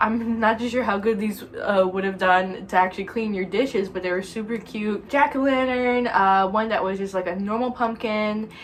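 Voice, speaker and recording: Speaking at a moderate pace, a woman keeps her fairly high pitch on a fairly even line. Background noise is noticeable. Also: hardly any pauses. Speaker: lifestyle vlogger. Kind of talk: casual chat. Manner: chatty, many fillers.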